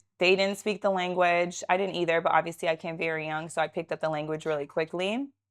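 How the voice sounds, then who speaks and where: Talking at a very fast pace, a woman with a Southern California accent is heard on a very clean recording with a silent background. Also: fairly low pitch for a woman, fairly even intonation. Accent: American, Southern California. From Israel, moved to San Diego in seventh grade. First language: Russian. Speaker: realtor and entrepreneur. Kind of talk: podcast interview. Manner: casual, chatty.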